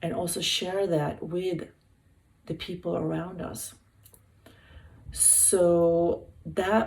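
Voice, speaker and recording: A woman's very slow speech in a Swedish accent, with noticeable background noise. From Sweden. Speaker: hospital health worker. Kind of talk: wellness talk. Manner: halting.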